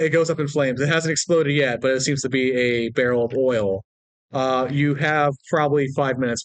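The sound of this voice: This is an unforced reading voice with fairly even intonation. The background is quiet.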